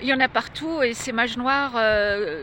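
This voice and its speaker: There is noticeable background noise in this clip. A woman talks with lively intonation at a fairly high pitch. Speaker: religious video blogger. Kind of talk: direct-to-camera monologue. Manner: halting, many hesitations.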